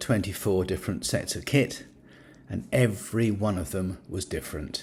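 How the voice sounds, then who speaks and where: Somewhat breathy and fairly low in pitch, a man with a British accent speaks at a moderate pace with ordinary pitch variation. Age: 70s. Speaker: scuba diving YouTuber. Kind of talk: product review. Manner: hesitant with fillers.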